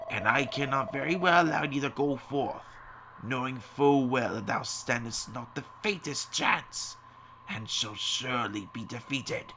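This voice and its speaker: A man performs a put-on character voice at a medium pitch. He keeps a moderate pace over clear background noise. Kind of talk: archaic fantasy speech. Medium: video game. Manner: solemn, measured.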